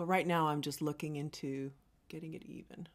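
Animated in tone, the speaker moves at a moderate pace. The background is quiet. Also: woman. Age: 50s. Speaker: makeup artist and beauty vlogger; beauty vlogger. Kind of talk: makeup tutorial.

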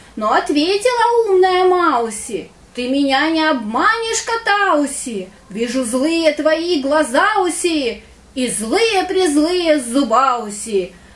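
In a cartoonish character voice, a woman speaks fairly slowly at a high pitch, her pitch swinging very widely. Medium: puppet.

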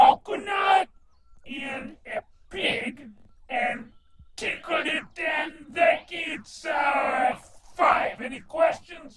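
In a high, put-on character voice, the speaker comes through with a slight echo. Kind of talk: comic overacting. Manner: pompous, comic.

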